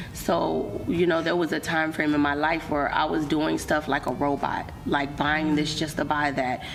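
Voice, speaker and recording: In a room with audible echo and noticeable background noise, a woman with a very deep, low pitch speaks at a moderate pace with hardly any pauses, her intonation monotone and flat and her loudness very even. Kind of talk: interview.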